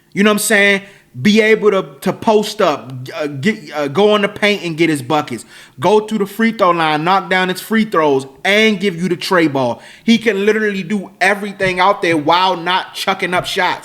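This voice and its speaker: A man speaks with an American accent at a moderate pace. His pitch is high and varies in an ordinary way. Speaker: sports podcast host. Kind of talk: casual sports commentary monologue. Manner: self-admitted mumbling, repetitive stammering.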